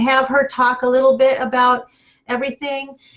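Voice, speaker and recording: A woman talks loudly at a moderate pace. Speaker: horse barn show host. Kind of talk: live video show interview.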